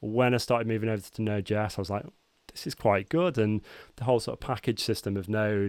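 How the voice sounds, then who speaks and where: This man has a northern English accent and a fairly low pitch with ordinary variation. The recording is very clean and the background silent. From northern England, Cheshire. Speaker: software engineering team lead. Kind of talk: casual chat.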